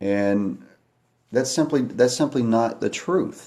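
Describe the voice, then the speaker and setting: Dark and mellow in tone, a man's voice moves at a fairly slow pace with ordinary pitch variation. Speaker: livestreamer talking to viewers. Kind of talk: live stream monologue. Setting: at home at night, kids asleep. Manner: quiet, hushed.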